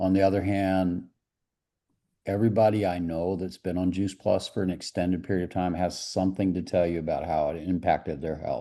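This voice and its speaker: Against a quiet background, a man with a very deep, low pitch and a dark, mellow tone speaks fairly quickly in a monotone, flat delivery. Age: 70s. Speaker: business executive promoting supplements. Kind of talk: sales pitch. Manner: casual.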